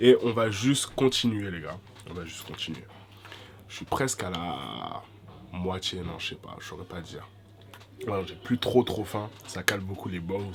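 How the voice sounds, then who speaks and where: Talking at a fairly slow pace, a man with a fairly low pitch and ordinary pitch variation leaves long, frequent pauses and makes big swings in loudness. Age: 20s. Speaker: vlogger. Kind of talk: casual chat. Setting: eating on camera. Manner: halting.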